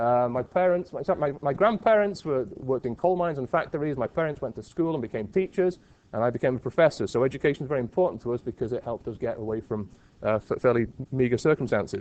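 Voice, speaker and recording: Talking at a very fast pace, a man with a medium pitch and a Liverpool accent uses lively intonation. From England (Liverpool). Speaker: university professor. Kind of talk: lecture.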